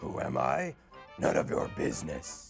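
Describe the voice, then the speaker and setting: A man's raspy, growling put-on character voice at a moderate pace, with clear music in the background. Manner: menacing, evasive.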